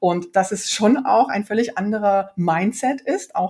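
A somewhat breathy woman's voice, dark and mellow in tone, with ordinary pitch variation. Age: 40s. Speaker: startup founder and CEO. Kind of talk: interview. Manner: many fillers and hesitations.

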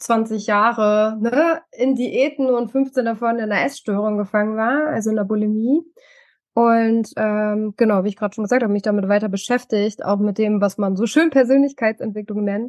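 The delivery moves at moderate speed. Its intonation stays fairly even. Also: woman. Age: 40s. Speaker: mentor and coach. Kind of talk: interview testimony. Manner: hesitant, many fillers.

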